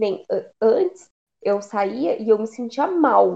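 A woman is speaking. Her voice is pitched fairly high. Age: 20s. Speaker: podcast co-host. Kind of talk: casual chat. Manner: animated.

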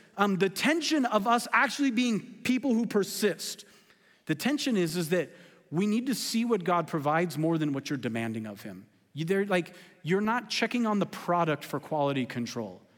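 Animated in tone, a man with an American accent speaks at a moderate pace in a high pitch, his pitch swinging very widely. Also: very clean recording, silent background. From California. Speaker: pastor. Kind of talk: sermon.

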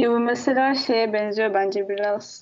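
A woman talks at a very slow pace with a fairly high pitch. Her pitch varies in an ordinary way. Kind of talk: casual chat.

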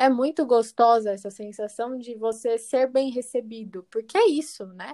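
Her voice is high-pitched with a dark, mellow tone, and this woman speaks at a fairly slow pace. The recording is very clean with a silent background and a dry, close sound with no echo. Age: 20s. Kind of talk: casual interview.

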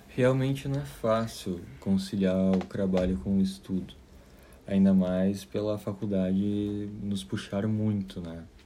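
With audible room echo, a man talks at a very slow pace in a dark, mellow tone. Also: fairly low pitch for a man, ordinary pitch variation. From southern Brazil, Caxias do Sul, Rio Grande do Sul. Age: 20s. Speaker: architecture student and waiter. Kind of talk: interview. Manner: halting, many fillers.

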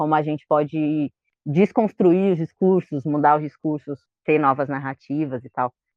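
At a fairly slow pace, a woman talks with a very deep, low pitch and ordinary pitch variation. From São Paulo, Brazil. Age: 20s. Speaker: librarian and environmental collective member. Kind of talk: casual interview chat.

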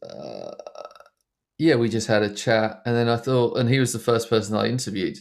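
A man speaks at a medium pitch with an Essex accent. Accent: southern English (Essex). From Essex, England. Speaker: documentary filmmaker. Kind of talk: interview. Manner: halting, many fillers.

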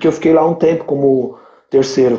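A man's dark, mellow tone comes at a moderate pace. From Brazil, São Paulo (São Miguel). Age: 30s. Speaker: entrepreneur, liquor store owner. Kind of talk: casual chat. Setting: live stream.

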